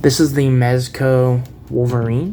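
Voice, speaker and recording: A man speaks in a medium pitch with a dark, mellow tone. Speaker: toy collector reviewer. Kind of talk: product review. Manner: casual, hesitant with many fillers.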